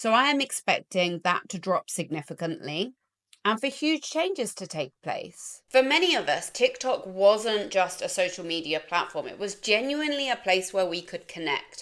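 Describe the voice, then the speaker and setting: With an English accent, a woman talks at a moderate pace and medium pitch, with very wide pitch swings and hardly any pauses. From England. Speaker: life coach and content creator. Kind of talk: casual vlog monologue.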